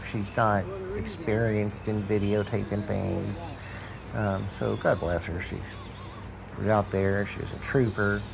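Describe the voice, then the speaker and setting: A man with a strong rural Southern US accent talks at a fairly low pitch with fairly even intonation and long, frequent pauses. Audible room echo and noticeable background noise fill the recording. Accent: strong country Southern US. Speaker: RC crawler hobbyist vlogger. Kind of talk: casual vlog narration.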